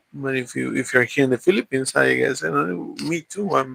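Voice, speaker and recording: A man with a Spanish accent talks at a moderate pace. The sound is dry and close, with no echo. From Mexico. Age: 40s. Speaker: vlogger. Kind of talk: casual chat. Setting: livestream. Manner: halting, many repeats and fillers.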